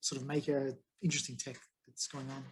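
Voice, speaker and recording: A man with an Australian accent, speaking at a fairly quick pace. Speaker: tech meetup presenter. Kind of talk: presentation to a meetup. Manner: fast; casual, hesitant with fillers.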